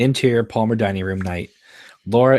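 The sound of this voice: With ordinary pitch variation, the clip offers an unforced reading voice.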